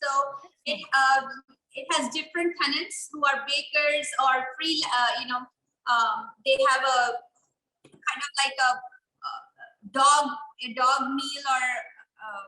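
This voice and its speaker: A woman's raised, projected voice with a non-native accent, high in pitch and bright and sharp in tone, fairly slow with long, frequent pauses, ordinary pitch variation and big swings in loudness. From India. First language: not English. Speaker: small business owner, meal kit maker. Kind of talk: interview. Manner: halting, many fillers.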